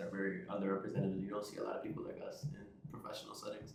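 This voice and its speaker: A man with an American accent speaks at a very fast pace with ordinary pitch variation, and audible room echo surrounds his voice. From New Jersey. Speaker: podcast host. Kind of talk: casual chat.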